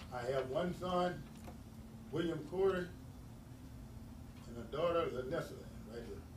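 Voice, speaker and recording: A man with an American accent, high-pitched, ordinary pitch variation, fairly slow with long, frequent pauses, big swings in loudness, and audible room echo. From East Texas. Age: 60s. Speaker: city councilman. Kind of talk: formal public statement. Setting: city council public hearing.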